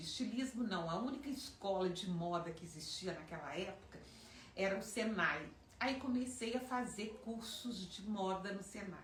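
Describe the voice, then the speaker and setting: A woman talks at a moderate pace with lively intonation. Audible room echo and noticeable background noise surround her voice. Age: 60s. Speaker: fashion designer. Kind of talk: personal storytelling.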